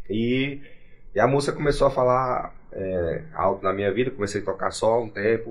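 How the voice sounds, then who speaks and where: This man's medium-pitched voice comes across as somewhat breathy. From Gurupi, Tocantins, Brazil. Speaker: sertanejo singer. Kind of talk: casual podcast interview.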